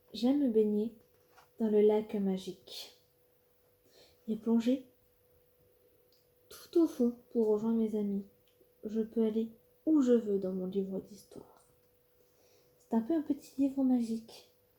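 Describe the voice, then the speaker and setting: A woman's fairly high, somewhat breathy voice with a dark, mellow tone, ordinary pitch variation, a very slow pace and long, frequent pauses. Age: 20s. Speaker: ASMR artist. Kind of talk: ASMR reading. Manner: soft-spoken.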